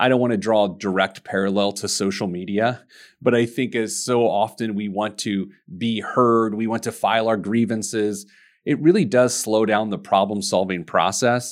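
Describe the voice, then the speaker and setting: With an unremarkable speaking voice, a man in an American accent talks in a fairly low pitch with ordinary pitch variation at a moderate pace, in a very clean recording with a silent background. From US Midwest, Indianapolis, Indiana. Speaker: financial advisor and business owner. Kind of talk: interview.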